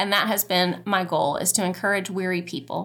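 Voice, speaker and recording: A woman's bright, sharp tone comes through on a very clean recording against a silent background. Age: 40s. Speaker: podcast host and counselor. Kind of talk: casual chat. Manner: conversational.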